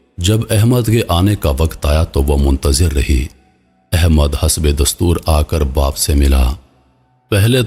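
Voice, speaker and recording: Lively intonation marks the very deep, low-pitched voice of a man. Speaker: voice actor. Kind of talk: story narration.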